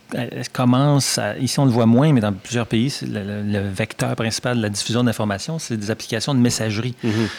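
Using a normal speaking voice, a man talks at a fairly quick pace with hardly any pauses, fairly even intonation and a medium pitch. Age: 50s. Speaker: journalism professor. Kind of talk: interview. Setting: studio.

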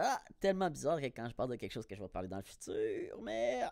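A man speaks with a Quebec accent on a very clean recording with a silent background. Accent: Québécois French. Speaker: podcaster. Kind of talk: casual solo monologue. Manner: animated.

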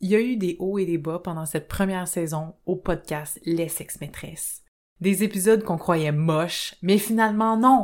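A woman with a Quebec accent at a fairly slow pace, on a very clean recording with a silent background. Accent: Québécois French. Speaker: podcast co-host, sexologist. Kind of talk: casual chat.

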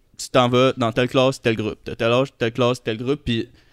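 The sound is dry and close, with no echo. It carries a man's voice at a medium pitch. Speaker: podcast guest. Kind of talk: casual chat.

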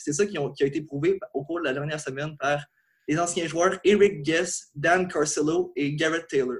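A man speaks in a high voice at a moderate pace with ordinary pitch variation. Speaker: sports journalist. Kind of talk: podcast segment.

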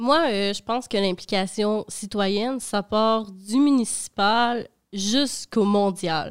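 A woman speaks at a very slow pace in a fairly high pitch. The recording is very clean, with a silent background. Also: ordinary pitch variation. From Quebec, Dolbeau-Mistassini. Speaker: intern. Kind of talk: casual chat.

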